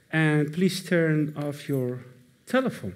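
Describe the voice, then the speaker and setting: A man with a non-native accent talks at a fairly slow pace, with audible room echo around him. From Iran, then Netherlands. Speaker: moderator. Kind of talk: event moderation to live audience. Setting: stage with audience. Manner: hesitant, many fillers.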